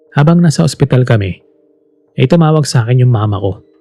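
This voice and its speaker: A man at a medium pitch and a fairly quick pace, with music in the background. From Philippines. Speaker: voice actor. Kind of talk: horror story narration. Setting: home studio.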